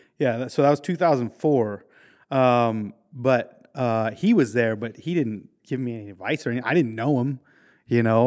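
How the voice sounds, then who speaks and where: A man with an American accent speaks at medium pitch with ordinary pitch variation. The recording is very clean with a silent background. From Maryland, US. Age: 40s. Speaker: motorcycle stunt rider. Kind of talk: casual chat. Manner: halting, many fillers.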